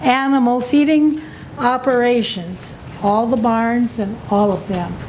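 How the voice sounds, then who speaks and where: Noticeable background noise sits behind a woman's voice. Her pitch is high, with ordinary pitch variation. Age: 80s+. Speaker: citizen testifying at county hearing. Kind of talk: public testimony. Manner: not fast, deliberate; forceful, indignant.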